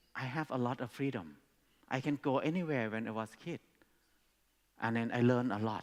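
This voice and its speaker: A man with a Thai accent, medium in pitch, at a moderate pace. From Thailand. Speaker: speaker at education conference. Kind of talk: talk to an audience.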